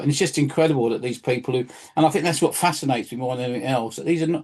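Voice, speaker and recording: A man with a London accent, medium pitch and ordinary pitch variation. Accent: English (southern, London area). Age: 60s. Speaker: local history presenter. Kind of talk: casual chat. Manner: halting.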